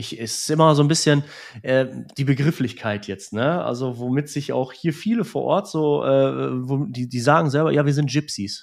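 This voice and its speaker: Heard on a very clean recording with a silent background, a plain, everyday voice speaks at a fairly slow pace with ordinary pitch variation. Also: man. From Romania (Transylvania), raised in Germany. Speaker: music school director. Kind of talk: personal testimony in conversation.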